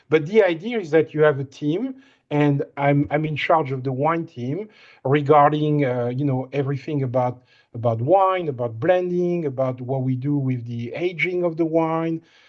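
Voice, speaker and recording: A man speaks with a slight French accent. His pitch sits fairly high for a man. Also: ordinary pitch variation, moderate pace. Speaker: winemaker. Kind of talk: presentation on a recruitment call. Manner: halting, repeats words.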